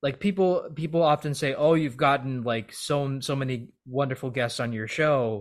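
Delivered at a moderate pace with hardly any pauses, this is an unremarkable speaking voice with ordinary pitch variation. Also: man, fairly high pitch for a man. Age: 30s. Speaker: podcast host. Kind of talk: casual interview chat.

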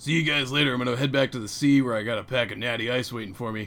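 Put-on character voice from a man, raspy, medium-pitched for a man, with fairly even intonation at a very fast pace, over light background noise. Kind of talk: casual slang. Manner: laid-back, dumb.

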